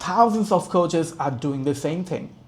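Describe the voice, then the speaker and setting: A man with a non-native accent speaks in a dark, mellow, somewhat breathy tone with ordinary pitch variation. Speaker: business coach. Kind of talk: tutorial. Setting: home, screen share. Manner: soft-spoken; halting, with fillers.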